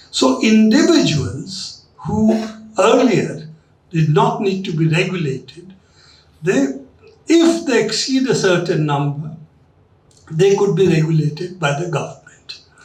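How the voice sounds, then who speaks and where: A high-pitched man speaks fairly slowly with lively intonation, leaving long, frequent pauses. Room echo can be heard. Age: 70s. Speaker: journalist and lecture speaker. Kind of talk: lecture.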